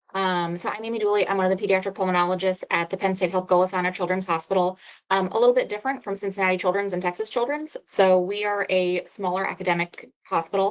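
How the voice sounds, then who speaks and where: A woman's very fast speech with fairly even intonation. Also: medium pitch for a woman. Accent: American. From New Jersey. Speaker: pediatric pulmonologist. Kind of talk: webinar lecture.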